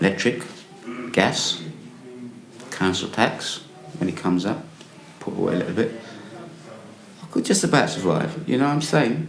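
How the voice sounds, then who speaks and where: With an English accent, a man at medium pitch speaks with very wide pitch swings and long, frequent pauses, over noticeable background noise and audible room echo. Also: moderate pace. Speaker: homeless man. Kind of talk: testimony. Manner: halting.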